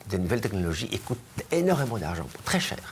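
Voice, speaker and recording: This man speaks in a fairly low voice. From Greece. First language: Greek (speaking French). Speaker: cancer researcher. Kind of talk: interview. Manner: halting, many fillers and repetitions.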